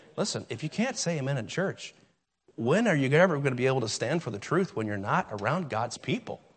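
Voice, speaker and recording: This man's somewhat breathy voice sits fairly high in pitch, moving at a fairly quick pace with very wide pitch swings. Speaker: preacher. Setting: church.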